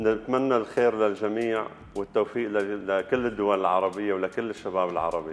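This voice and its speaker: At a moderate pace and with hardly any pauses, a man speaks at a fairly low pitch with fairly even intonation and very even loudness. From Syria, Algerian family. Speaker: barber and salon owner. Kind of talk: interview. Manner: halting. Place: shop. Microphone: lapel.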